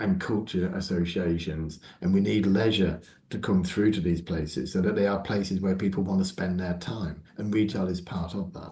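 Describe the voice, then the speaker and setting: A man's very deep, low voice, somewhat breathy, with a dark, mellow tone and fairly even intonation. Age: 60s. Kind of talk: interview.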